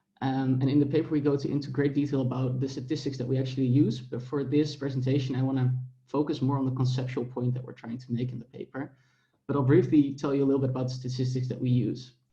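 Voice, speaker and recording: Very fast, monotone, flat speech with audible room echo. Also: man, medium pitch for a man. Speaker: academic researcher presenting a paper. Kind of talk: conference paper presentation.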